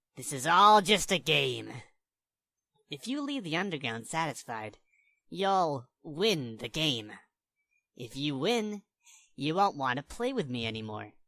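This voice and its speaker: A put-on character voice speaks at a fairly slow pace in a very clean recording with a silent background. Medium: voice reel. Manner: menacing, taunting.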